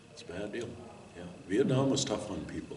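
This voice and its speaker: With an Upper Midwest US accent, a man talks at a moderate pace in a room with audible echo and noticeable background noise. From Minnesota. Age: 70s. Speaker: war veteran. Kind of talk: interview testimony. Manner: halting.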